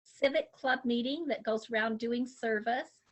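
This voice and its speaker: With an American accent, a woman talks in an ordinary speaking voice, fairly high in pitch and with lively intonation. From Utah. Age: 60s. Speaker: grandmother, substitute teacher. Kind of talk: interview answers.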